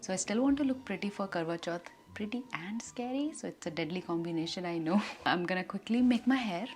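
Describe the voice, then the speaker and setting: With music playing in the background, the speaker moves at a fairly quick pace with lively intonation. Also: woman. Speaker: beauty vlogger. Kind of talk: makeup tutorial vlog. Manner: casual, chatty.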